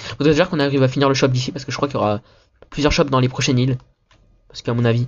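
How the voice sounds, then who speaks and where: A man talks very fast, yet leaves long, frequent pauses. His voice is medium in pitch, somewhat breathy, with fairly even intonation. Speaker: gaming youtuber. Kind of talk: gameplay commentary. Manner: casual, hesitant with many fillers.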